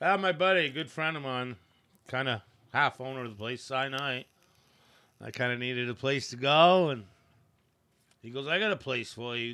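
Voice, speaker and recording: A man with a Maine accent, medium pitch and a bright, sharp tone, at a moderate pace with ordinary pitch variation, big swings in loudness, and long, frequent pauses. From Maine, coastal (moved from Aroostook County at age 3). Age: 50s. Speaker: boatyard worker and former fisherman. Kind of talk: casual chat.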